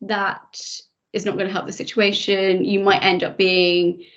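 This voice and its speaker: A woman with a plain, everyday voice talks at a medium pitch. Her pace is fairly slow. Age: 30s. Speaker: personal finance blogger. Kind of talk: webinar interview.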